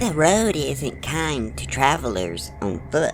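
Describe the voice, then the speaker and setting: Someone in a put-on character voice speaks at a fairly slow pace against clear background noise. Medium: read story. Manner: playful, teasing.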